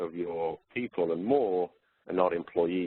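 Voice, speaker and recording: With a British accent, a man speaks in a very deep, low voice. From UK. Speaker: workforce consultant. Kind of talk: webinar presentation. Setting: webinar. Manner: hesitant, with fillers.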